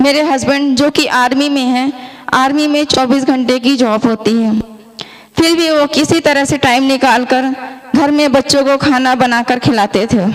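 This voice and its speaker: Over noticeable background noise, a woman speaks at a high pitch. Her intonation is fairly even, and her loudness stays very even. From India, Madhya Pradesh (Jabalpur). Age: 30s. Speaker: product customer, army wife. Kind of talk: testimony.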